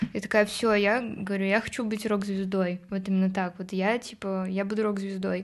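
A woman speaks at a moderate pace with hardly any pauses, her medium-pitched voice held in a monotone, flat intonation. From Moscow, Russia. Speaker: indie pop musician. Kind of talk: casual interview chat.

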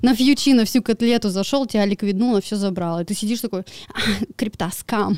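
A woman with a fairly high voice speaks fairly quickly in an animated tone, the sound dry and close with no echo, though noticeable background noise is present. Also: ordinary pitch variation. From Siberia, Irkutsk region village. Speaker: crypto trader and blogger. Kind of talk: casual interview.

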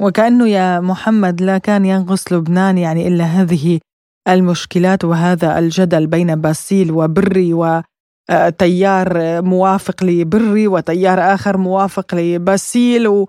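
A woman speaks at a very slow pace with hardly any pauses, her pitch medium. Her tone is dark and mellow, her loudness very even and her intonation fairly even. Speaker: radio news host. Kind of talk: news reading. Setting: studio.

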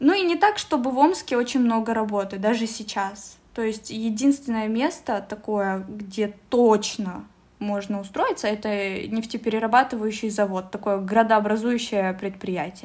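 In a very clean recording with a silent background, a normal speaking voice proceeds at a fairly slow pace. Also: woman, fairly high pitch for a woman, ordinary pitch variation. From Russia, Omsk. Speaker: translator and office specialist at a Korean firm. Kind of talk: casual interview.

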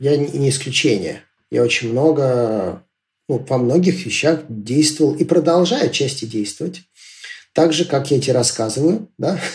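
Lively intonation marks a man's fairly high, somewhat breathy voice. He speaks at a fairly slow pace. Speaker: entrepreneur and school teacher. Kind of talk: casual interview.

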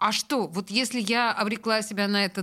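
The voice has a bright, sharp tone on a very clean recording with a silent background. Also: woman. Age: 50s. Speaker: radio host. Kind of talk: casual chat. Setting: studio.

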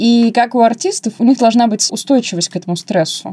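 A woman talks at a fairly quick pace with lively intonation, her fairly high voice carrying a dark, mellow tone. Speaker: podcast co-host, customer service specialist. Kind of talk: casual chat. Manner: mumbling. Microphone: wrongly assembled mic, muffled sound.

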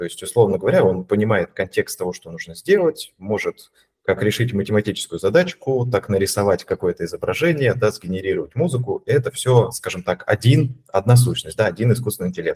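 A man talks at a fairly quick pace, his loudness swinging widely. The sound is dry and close, with no echo. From Russia, Voronezh. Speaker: data scientist, AI team lead. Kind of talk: casual interview.

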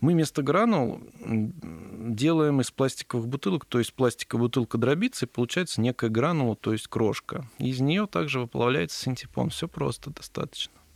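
With an unremarkable speaking voice, a man talks at a moderate pace and medium pitch, using lively intonation in a dry, close sound with no echo. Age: 30s. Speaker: entrepreneur, company founder. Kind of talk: casual interview. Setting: studio.

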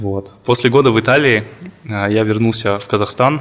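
The man speaks at a fairly low pitch. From Kazakhstan, Karaganda. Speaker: corporate lawyer. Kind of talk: interview.

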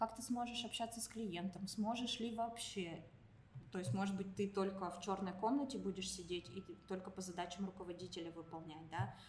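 With audible room echo around her, a woman speaks at a moderate pace in a somewhat breathy, medium-pitched voice with ordinary pitch variation. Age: 30s. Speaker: IT company director and career consultant. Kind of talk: casual interview. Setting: recording at a university building.

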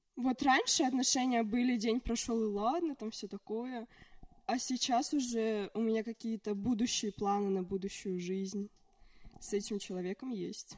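This is a plain, everyday voice. A woman talks at a moderate pace with a fairly high pitch and ordinary pitch variation. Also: dry, close sound with no echo. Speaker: podcast guest. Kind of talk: casual chat.

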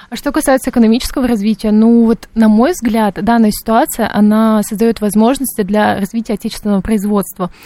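A woman's fairly high, dark and mellow voice at a fairly quick pace, with fairly even intonation, hardly any pauses and a dry, close sound with no echo. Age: 20s. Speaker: political science student. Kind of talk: radio panel discussion.

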